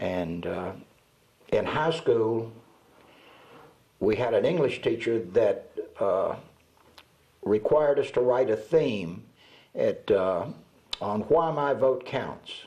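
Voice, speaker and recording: Speaking at a very slow pace with long, frequent pauses, a man talks in a Southern US accent. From US South (Georgia and Alabama). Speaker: retired radio announcer. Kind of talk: oral history interview. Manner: halting, many fillers.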